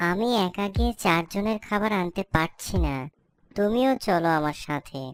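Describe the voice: A cartoonish character voice at a middle pitch speaks at a fairly slow pace. The recording is very clean, with a silent background. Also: female-sounding voice.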